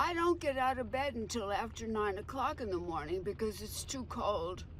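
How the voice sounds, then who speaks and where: Noticeable background noise sits under the speech. Pitch moves across a very wide range. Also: woman, fairly high pitch for a woman, moderate pace. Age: 70s. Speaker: utility customer and petition creator. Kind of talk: news interview.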